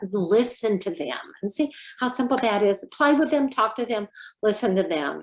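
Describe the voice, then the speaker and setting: A woman with fairly high pitch and very wide pitch swings talks at a moderate pace against a quiet background. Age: 70s. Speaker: early childhood educator. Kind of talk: interview. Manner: halting.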